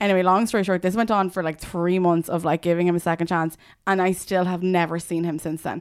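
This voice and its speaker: A woman with an Irish accent speaks very fast in a monotone, flat intonation at a fairly low pitch. The recording is very clean, with a silent background. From Ireland, Dublin and Limerick. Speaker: media founder and showbiz journalist. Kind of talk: casual chat.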